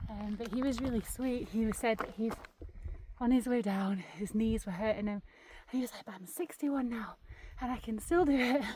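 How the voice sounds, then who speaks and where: With an English accent, a woman speaks at a fairly quick pace with ordinary pitch variation and big swings in loudness, against noticeable background noise. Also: fairly high pitch for a woman. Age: 30s. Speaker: outdoor vlogger. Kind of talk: casual vlog narration. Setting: outdoors on a mountain.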